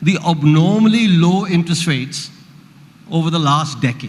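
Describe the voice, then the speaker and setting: A man at a fairly high pitch and moderate pace, with ordinary pitch variation, amid audible room echo. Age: 70s. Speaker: economist. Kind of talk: panel discussion.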